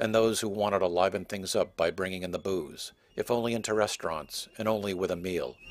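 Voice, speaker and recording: At a fairly quick pace, this is a normal speaking voice with ordinary pitch variation. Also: man. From Massachusetts, North Shore near Boston. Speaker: documentary filmmaker and reporter. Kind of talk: scripted narration.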